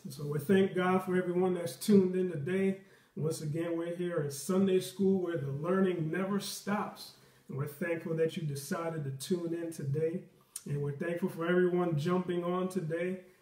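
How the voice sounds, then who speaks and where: Against a quiet background with audible room echo, the voice moves at a moderate pace in a monotone, flat intonation. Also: man, high pitch for a man. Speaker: Sunday school teacher. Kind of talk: prayer, then class opening. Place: home room. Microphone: webcam.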